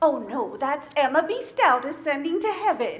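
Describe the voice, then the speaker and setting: A woman uses a put-on character voice with a high pitch and very wide pitch swings. She speaks at a moderate pace. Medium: stage play. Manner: soft, breathy exclamations.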